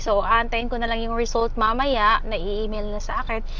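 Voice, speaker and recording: A woman speaks with ordinary pitch variation. The room echo is audible, and there is noticeable background noise. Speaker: dialysis patient vlogger. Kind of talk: casual vlog update.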